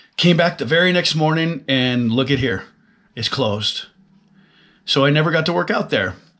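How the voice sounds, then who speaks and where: Fairly quick speech from a man, quiet background behind him. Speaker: fitness vlogger. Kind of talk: casual vlog chat. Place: office. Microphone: webcam.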